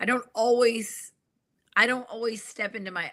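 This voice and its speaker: A woman's fairly high voice, bright and sharp in tone, with a Southern US accent, on a very clean recording with a silent background. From New York City. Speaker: organizational psychologist and executive coach. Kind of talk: conversational interview.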